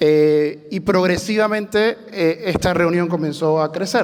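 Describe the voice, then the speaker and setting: A man's high-pitched voice with ordinary pitch variation and noticeable background noise. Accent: Venezuelan. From Venezuela. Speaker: church planter, bivocational pastor. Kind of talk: panel testimony.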